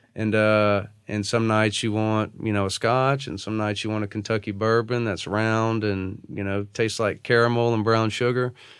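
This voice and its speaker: A man with a Louisiana accent talks at a moderate pace in a fairly low, monotone, flat voice, barely pausing at all. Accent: Louisiana Southern US. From northwest Louisiana (Natchitoches). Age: 30s. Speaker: attorney. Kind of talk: interview conversation. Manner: hesitant fillers, frequent uh and you know.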